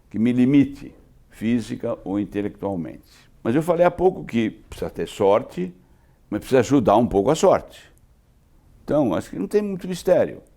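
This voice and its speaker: A man with a medium-pitched, dark and mellow voice and vocal fry speaks at a moderate pace with very wide pitch swings, on a very clean recording with a silent background. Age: 80s+. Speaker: insurance executive. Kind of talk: interview. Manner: conversational, with filler tags.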